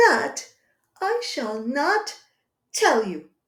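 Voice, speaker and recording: A woman uses a put-on character voice, raised and projected. It sits at an extremely high pitch with very wide pitch swings. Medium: read story. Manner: prim and reserved.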